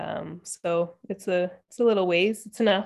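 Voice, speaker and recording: A woman speaks in a normal speaking voice with a Canadian accent and a medium pitch. Her pace is fairly slow, with ordinary pitch variation. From Ontario, Canada (Whitby, Toronto area). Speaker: yoga instructor and entrepreneur. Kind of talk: interview conversation.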